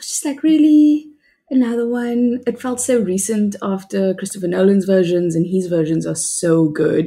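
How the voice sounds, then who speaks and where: In a very clean recording with a silent background, a woman speaks at a medium pitch with very wide pitch swings and a dark, mellow, somewhat breathy tone. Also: moderate pace. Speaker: co-host. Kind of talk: casual chat.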